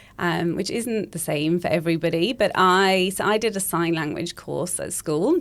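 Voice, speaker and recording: In a slight Welsh accent, a woman talks at a fairly low pitch and a moderate pace. She uses ordinary pitch variation and hardly any pauses. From Wales. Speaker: speech pathologist. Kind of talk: podcast interview.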